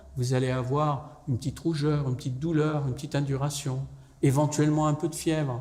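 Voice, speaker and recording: Audible room echo surrounds a man with a fairly high pitch. He talks at a fairly quick pace with fairly even intonation. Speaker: professor and public health expert on vaccination. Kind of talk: public lecture.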